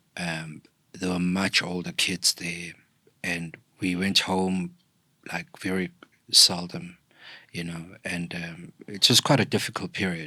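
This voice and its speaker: With a South African accent, a man speaks fairly slowly in a very deep, low voice, his bright, sharp tone and monotone, flat intonation broken by long, frequent pauses, in a very clean recording with a silent background. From KwaZulu-Natal, South Africa. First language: isiZulu. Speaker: podcast guest, thought leader. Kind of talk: interview, personal storytelling.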